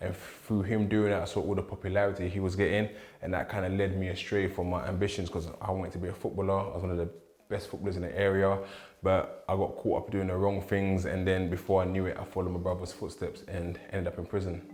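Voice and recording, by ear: A man speaks fast with few pauses, his low voice barely moving in pitch and carrying a slightly mellow tone.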